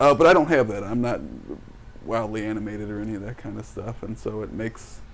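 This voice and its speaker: A man with an American accent talks at a fairly quick pace in a medium-pitched voice that has vocal fry. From US Midwest, St. Louis, Missouri. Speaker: jiu-jitsu instructor. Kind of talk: podcast conversation.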